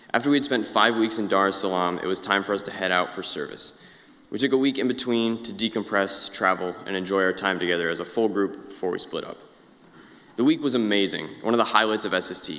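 Speaking at a very fast pace, a man with an American accent keeps a fairly low pitch and fairly even intonation. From Indiana, US. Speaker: college student. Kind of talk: prepared talk.

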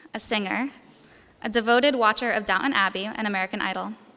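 A woman's unremarkable speaking voice, fairly high in pitch, at a fairly quick pace. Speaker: college student. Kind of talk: speech.

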